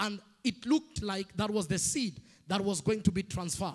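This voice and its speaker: A quiet background under a moderate pace and ordinary pitch variation. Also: man. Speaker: preacher. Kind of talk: sermon. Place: church. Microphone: handheld.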